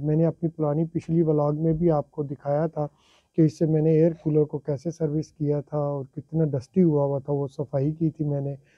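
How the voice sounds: At a moderate pace, a man with a fairly high pitch speaks with little pitch movement in a dry, close sound with no echo.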